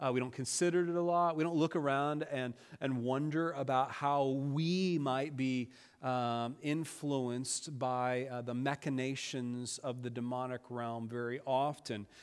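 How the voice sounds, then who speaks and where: A man's medium-pitched voice with fairly even intonation, on a very clean recording with a silent background. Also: fairly slow pace. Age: 40s. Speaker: pastor. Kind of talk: sermon. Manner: halting, many fillers.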